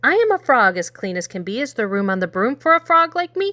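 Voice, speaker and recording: A woman's put-on character voice, croaky and fairly high, at a very fast pace with very wide pitch swings. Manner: polite, pleading.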